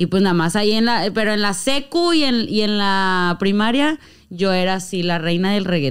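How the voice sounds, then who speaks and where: At a fairly slow pace, a woman talks with very wide pitch swings. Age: 20s. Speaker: reggaeton rapper and influencer; podcast guest. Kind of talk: casual chat. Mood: playful, animated storytelling. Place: studio. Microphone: studio mic.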